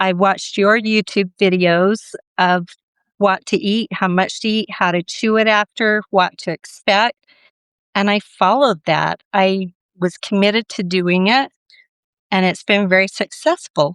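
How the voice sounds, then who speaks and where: A woman talks fairly slowly in an unremarkable speaking voice, medium in pitch with fairly even intonation. The background is quiet, and the sound is dry and close with no echo. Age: 60s. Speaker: bariatric surgery patient. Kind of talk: interview testimony.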